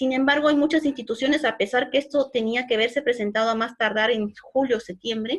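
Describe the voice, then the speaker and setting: A woman talks at a fairly quick pace with a high pitch and hardly any pauses. Her loudness stays very even and her pitch variation is ordinary. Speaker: online course instructor. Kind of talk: virtual class lecture. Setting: virtual class. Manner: fast.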